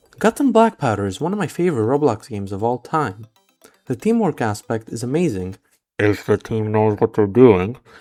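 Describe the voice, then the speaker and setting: Someone speaks at a moderate pace with music in the background. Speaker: gaming YouTuber. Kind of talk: game commentary voice-over. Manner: quiet at some parts.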